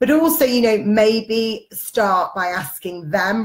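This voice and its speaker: A woman speaks in a somewhat breathy voice. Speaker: parenting blogger. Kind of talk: live Q&A stream. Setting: Facebook Live video stream.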